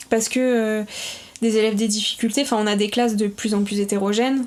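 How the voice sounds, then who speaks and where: Through noticeable background noise, a woman speaks at a fairly high pitch in a flat, monotone way. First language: Portuguese (speaking French). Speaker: primary school teacher. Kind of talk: casual interview.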